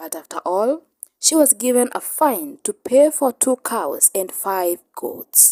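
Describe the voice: A woman's fairly high-pitched voice with a dark, mellow tone, big pitch swings, a slow pace and a dry, close sound with no echo.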